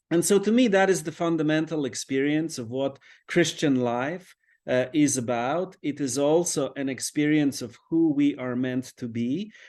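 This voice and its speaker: Fairly high in pitch, a man speaks at a moderate pace with ordinary pitch variation. The background is quiet. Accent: Polish. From Poland. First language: Polish. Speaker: priest and author. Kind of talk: interview conversation. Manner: reflective, with frequent fillers.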